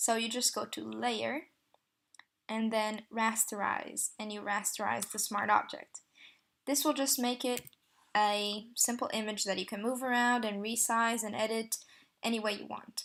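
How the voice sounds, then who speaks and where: A woman with a non-native accent speaks at a moderate pace and a fairly high pitch, her intonation fairly even. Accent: non-native accent, self-described bad. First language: not English. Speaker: tutorial creator, photo editor. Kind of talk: tutorial. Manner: hesitant, many fillers.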